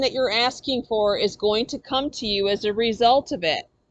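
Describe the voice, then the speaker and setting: The speaker is loud and animated. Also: woman. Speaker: tarot reader. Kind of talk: tarot reading. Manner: loud, animated.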